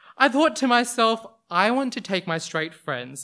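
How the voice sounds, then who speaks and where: A man with an Australian accent talks at a fairly slow pace in a bright, sharp tone with lively intonation. The recording is very clean, with a silent background. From Western Sydney, Australia. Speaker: storyteller. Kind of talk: live personal storytelling on stage. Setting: stage with audience, handheld mic. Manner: loud, animated.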